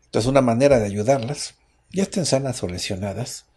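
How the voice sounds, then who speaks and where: Speaking at a moderate pace with a Mexican accent, a man has a dark, mellow, somewhat breathy voice over a quiet background. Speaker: radio host. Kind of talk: radio health talk show.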